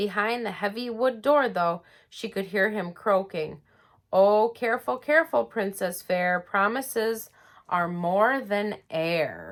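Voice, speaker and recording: Putting on a raspy character voice, a woman speaks at a fairly slow pace and a medium pitch. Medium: read story.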